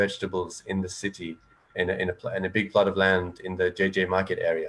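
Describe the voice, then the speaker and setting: A fairly low-pitched man with an English accent at a fairly quick pace. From England. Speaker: panelist on environmental issues. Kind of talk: panel discussion. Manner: halting, many false starts.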